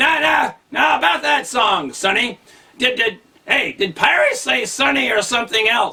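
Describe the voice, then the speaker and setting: A man shouts in a put-on character voice. His pitch is extremely high. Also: moderate pace. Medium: read story. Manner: blustering, menacing swagger.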